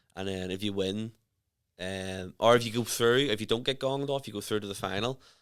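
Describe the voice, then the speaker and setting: A man with a Northern Irish accent talks at a fairly quick pace in a fairly low pitch with ordinary variation, captured in a very clean recording against a silent background. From Northern Ireland. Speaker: stand-up comedian. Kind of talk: casual chat.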